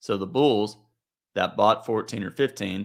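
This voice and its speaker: A man with a plain, everyday voice, fairly low in pitch, with ordinary pitch variation and a moderate pace, on a very clean recording with a silent background. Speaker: trading educator. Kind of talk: market review tutorial.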